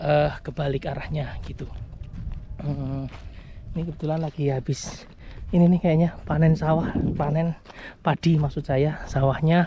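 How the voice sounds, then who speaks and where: A moderate pace broken by long, frequent pauses. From Java, Indonesia. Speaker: vlogger, home buyer. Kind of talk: walking vlog commentary. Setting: outdoors, walking on a construction site. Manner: casual, many fillers.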